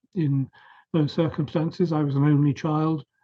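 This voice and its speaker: Speaking at a medium pace, this voice has a somewhat breathy sound. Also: man. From southern England, Surrey. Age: 70s. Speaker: professor. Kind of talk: interview. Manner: hesitant fillers.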